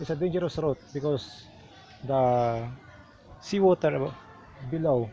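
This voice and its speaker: A soft-spoken man talks at a very slow pace and a fairly high pitch, with ordinary pitch variation over noticeable background noise. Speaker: travel vlogger. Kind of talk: travel vlog narration. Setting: outdoors. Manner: soft-spoken, lowered voice.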